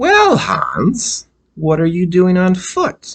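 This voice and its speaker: Using a put-on character voice, a man speaks at a very slow pace in a high pitch. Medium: read story.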